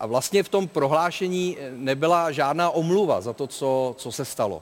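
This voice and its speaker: Using a plain, everyday voice, a man talks at a moderate pace with a fairly high pitch and ordinary pitch variation. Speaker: talk show host. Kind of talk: football talk show. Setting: studio with live audience.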